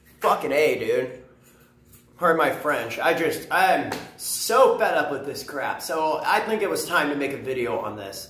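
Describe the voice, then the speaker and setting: A man is speaking. Room echo is audible. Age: young. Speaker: vlogger. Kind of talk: casual rant to camera. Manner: animated.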